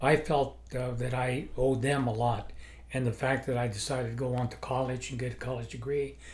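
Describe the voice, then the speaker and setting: Audible room echo surrounds a man's somewhat breathy, medium-pitched voice. He talks at a fairly quick pace with monotone, flat intonation. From New Mexico, Las Cruces. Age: 80s+. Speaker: retired judge. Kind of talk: interview. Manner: halting.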